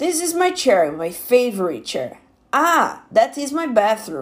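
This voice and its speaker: A woman with a Portuguese accent talks at a fairly slow pace in a high pitch, her voice making very wide pitch swings. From Brazil. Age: 20s. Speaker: English learner. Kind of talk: prepared monologue.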